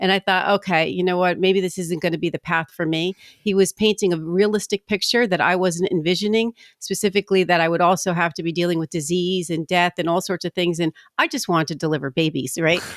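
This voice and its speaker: Very fast and with fairly even intonation, a woman with a fairly low pitch speaks in a New Jersey accent in a very clean recording with a silent background. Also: dry, close sound with no echo. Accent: East Coast, New Jersey. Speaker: commercial title insurance rep, former attorney. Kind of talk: podcast interview.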